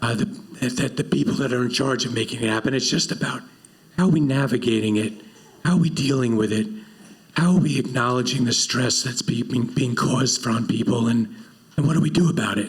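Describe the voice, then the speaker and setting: A breathy man's voice at a medium pitch and fairly quick pace, with ordinary pitch variation and noticeable background noise. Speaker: panel moderator. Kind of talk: panel discussion.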